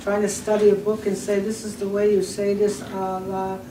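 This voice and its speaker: A woman with an Albertan accent speaks at medium pitch and a moderate pace with fairly even intonation, amid noticeable background noise and audible room echo. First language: Blackfoot. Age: 70s. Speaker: elder and language teacher. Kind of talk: panel discussion.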